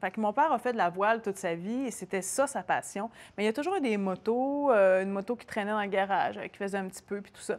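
A woman speaks very fast with a Quebec accent and ordinary pitch variation. Her loudness swings widely. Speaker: TV host, motorcyclist guest; TV host, guest. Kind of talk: casual chat. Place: shop.

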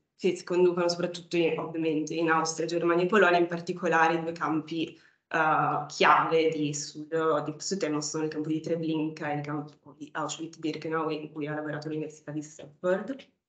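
A woman talks fairly quickly with hardly any pauses, her pitch very deep and low and her intonation monotone and flat. The background is quiet, with audible room echo. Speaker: PhD student. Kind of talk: academic talk. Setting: stage with audience. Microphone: video call.

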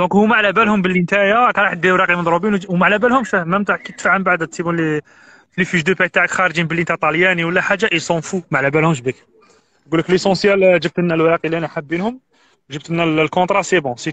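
A man talks at a very fast pace with a high pitch and ordinary pitch variation. His tone is bright and sharp, and the sound is dry with no echo. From Algeria. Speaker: immigrant sharing advice; guest. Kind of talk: casual interview. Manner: animated.

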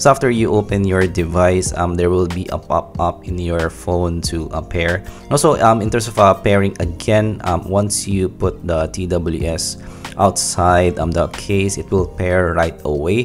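A man's very deep, low voice at a fairly slow pace, ordinary pitch variation, clear music in the background. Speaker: tech reviewer. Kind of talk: product review commentary. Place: home room.

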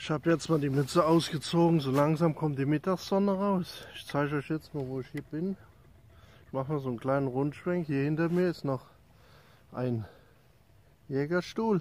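This man talks at a moderate pace with ordinary pitch variation and long, frequent pauses. The sound is dry, with no echo. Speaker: hiking vlogger. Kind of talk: casual vlog chat. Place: open country. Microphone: phone near.

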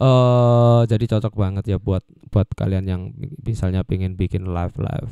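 A man with a dark, mellow tone and fairly low pitch speaks at a fairly quick pace with fairly even intonation. The sound is dry with no echo, against a quiet background. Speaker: mic reviewer. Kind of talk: casual review chat. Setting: home studio. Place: home room. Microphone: handheld.

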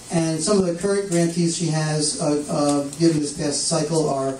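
Light background noise and audible room echo accompany a man whose intonation is fairly even. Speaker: event host introducing speaker. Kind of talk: introduction speech. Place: shop. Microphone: camera far.

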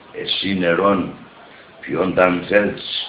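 Speaking at a very slow pace in a Pontic Greek accent, a man is heard with audible room echo and light background noise. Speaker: poet. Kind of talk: poetry reading. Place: home room. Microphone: earbuds.

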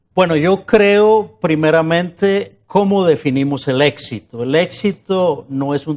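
A man speaks at a fairly slow pace with hardly any pauses. His pitch is fairly high, and his intonation is lively. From Colombia, Bogotá (born in Medellín, moved at 5 or 6); Colombia. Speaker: journalist and interviewee on a success-stories show; journalist, interviewee. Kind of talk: interview. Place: studio. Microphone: lapel.

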